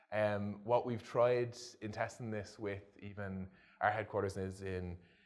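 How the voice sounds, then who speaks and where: Through audible room echo, a man speaks at a fairly slow pace in a fairly low, monotone, flat voice. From Ireland. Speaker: e-commerce product manager. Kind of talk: conference presentation with live demo. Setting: stage with audience at an event. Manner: casual, with frequent fillers.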